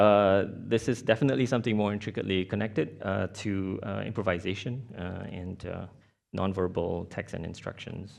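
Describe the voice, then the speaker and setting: A man speaks with a Mandarin accent at a fairly low pitch. The background is quiet. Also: ordinary pitch variation, moderate pace. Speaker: artist-researcher. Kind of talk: conference presentation. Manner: halting, many fillers.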